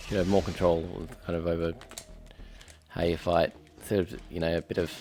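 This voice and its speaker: Noticeable background noise runs under a man's very deep, low voice, which stays flat and monotone at a moderate pace with long, frequent pauses. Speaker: game streamer. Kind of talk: gameplay commentary. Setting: live stream. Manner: soft-spoken.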